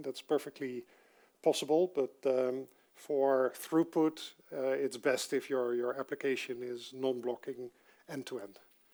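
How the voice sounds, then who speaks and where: A man speaks at a medium pitch with a Dutch accent. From Netherlands. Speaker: software developer giving a conference talk. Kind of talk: technical talk. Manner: halting, many fillers.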